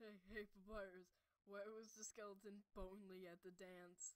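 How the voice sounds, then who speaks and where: A put-on character voice at middle pitch with monotone, flat intonation. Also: moderate pace. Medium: dub. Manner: teasing, playful.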